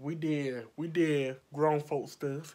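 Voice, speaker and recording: A woman with a very deep, low pitch speaks in an animated tone. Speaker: makeup artist vlogger. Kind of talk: storytime vlog, heated retelling of an argument. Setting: video vlog, filming at home under lights. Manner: loud, animated, combative, sassy. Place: home room. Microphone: phone near.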